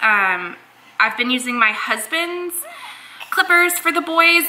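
Over noticeable background noise, a woman speaks in a raised, projected voice at a moderate pace, with very wide pitch swings. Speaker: parent vlogger. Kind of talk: casual vlog chat. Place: home room. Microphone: phone near.

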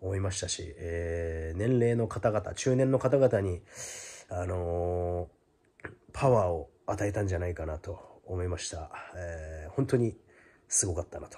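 A man speaks at a fairly slow pace with a very deep, low pitch. His voice is somewhat breathy, with big swings in loudness. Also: ordinary pitch variation. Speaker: YouTuber giving boxing commentary. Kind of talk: casual vlog monologue; casual vlog chat. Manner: hesitant, many fillers. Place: home room. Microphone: phone near.

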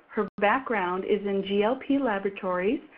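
Speaking at a fairly slow pace, a woman uses a plain, everyday voice with lively intonation. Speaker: webinar host. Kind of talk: webinar introduction.

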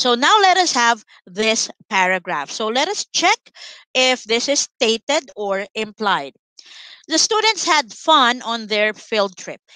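A woman with a fairly high pitch speaks at a very slow pace, her bright, sharp tone sweeping through very wide pitch swings, in a dry sound with no echo over a quiet background. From Philippines. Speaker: online English tutor for grade 7. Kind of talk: online lesson tutorial. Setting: live online class with screen sharing. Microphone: headset.

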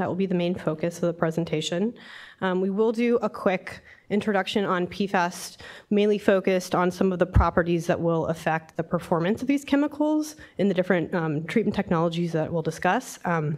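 A woman talks at a fairly quick pace with few pauses, her fairly low pitch carrying a slightly mellow tone. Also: ordinary pitch variation.

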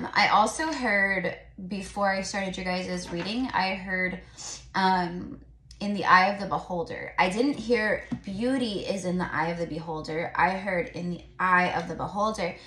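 A woman at a moderate pace with ordinary pitch variation, audible room echo and light background noise. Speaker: tarot reader. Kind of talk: casual tarot reading vlog. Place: home room. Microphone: phone near.

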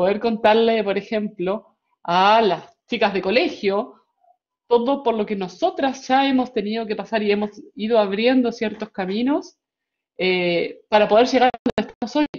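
With a plain, everyday voice, a woman talks at a fairly slow pace, her fairly high pitch showing ordinary variation. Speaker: school director. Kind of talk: welcome speech. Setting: video call.

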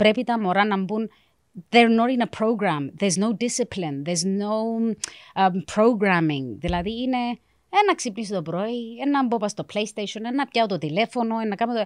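A woman talks at a moderate pace with a fairly high pitch and lively intonation. The sound is dry with no echo, and the background is quiet. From South Africa, Cypriot parents from Varosha; moved to Cyprus 1989; South Africa. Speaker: career guidance counselor; guest. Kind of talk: casual interview chat. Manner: mixes Greek and English. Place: studio. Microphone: studio mic.

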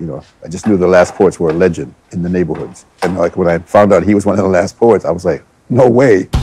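Music plays behind a man whose very deep, low voice races at a very fast pace with ordinary pitch variation, the sound dry with no echo. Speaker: martial arts teacher. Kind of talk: interview answer. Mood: reflective, admiring. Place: gym.

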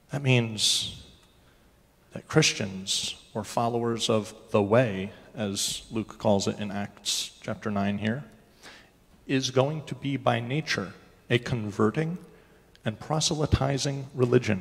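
Speaking at a very slow pace with long, frequent pauses, a man uses ordinary pitch variation. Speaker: preacher. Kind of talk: sermon. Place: church.

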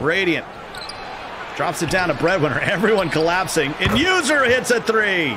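An excited man's raised, projected voice, high-pitched with lively intonation, very even loudness and a moderate pace, over noticeable background noise. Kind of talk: sports commentary. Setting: esports game broadcast. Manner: excited, punchy delivery with short bursts.

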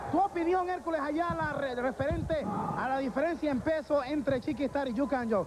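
A man at an extremely high pitch with ordinary pitch variation, fairly quick, amid noticeable background noise. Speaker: wrestling commentator. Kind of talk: live wrestling commentary, 1985 announcer style. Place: hall.

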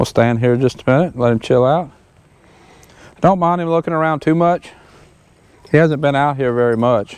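A man is speaking. The sound is dry, with no echo. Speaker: horse trainer. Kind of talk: tutorial. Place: open country. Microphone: lapel.

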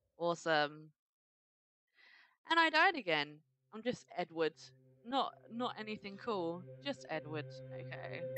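In a British accent, the speaker talks at a fairly slow pace with long, frequent pauses, very wide pitch swings, and big swings in loudness. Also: woman, fairly low pitch for a woman. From Britain. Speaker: gamer. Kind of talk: casual let's play commentary. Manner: upbeat.

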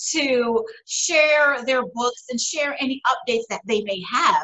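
Against a quiet background, a woman speaks very slowly in a high voice. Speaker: show host. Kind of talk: show host introduction. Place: home room. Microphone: webcam.

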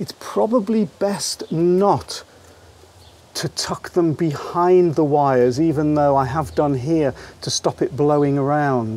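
A man's slow, slightly mellow voice, fairly high in pitch, with ordinary pitch variation.

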